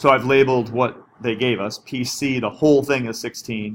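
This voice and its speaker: With a normal speaking voice, a man talks at a fairly slow pace, his pitch varying in an ordinary way. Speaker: math teacher. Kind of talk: tutorial.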